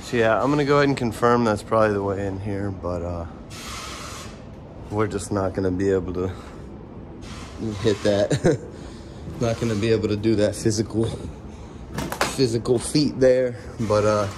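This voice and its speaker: Noticeable background noise surrounds a man with a fairly low pitch and ordinary pitch variation. He moves at a moderate pace, with long, frequent pauses. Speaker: urban explorer vlogger. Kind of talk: casual vlog chat. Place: street. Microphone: phone near.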